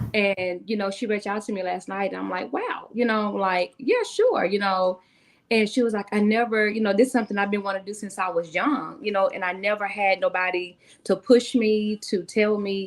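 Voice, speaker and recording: A woman with a Southern US accent, medium pitch, fairly even intonation and a fairly quick pace. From US South, Tennessee. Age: 40s. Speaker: author and speaker. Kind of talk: interview.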